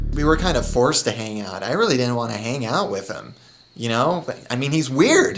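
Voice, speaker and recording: Music plays in the background as a man with a medium-pitched voice talks at a fairly quick pace. His intonation is lively, and room echo is audible. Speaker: comedian. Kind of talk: comedy audition interview.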